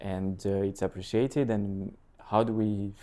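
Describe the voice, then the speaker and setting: The voice has a dark, mellow tone and is heard with a French accent. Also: man. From northern France (Lille). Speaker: real estate agent and content creator. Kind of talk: podcast interview.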